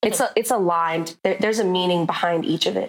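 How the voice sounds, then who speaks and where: In a normal speaking voice, a woman talks with a medium pitch and fairly even intonation. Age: 30s. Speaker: artist. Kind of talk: casual interview.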